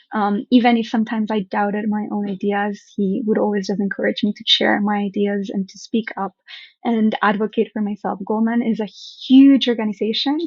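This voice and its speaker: At a fairly quick pace, a somewhat breathy woman with a fairly high pitch speaks in a fairly even intonation. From Colombia. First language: Spanish. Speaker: startup founder. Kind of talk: interview.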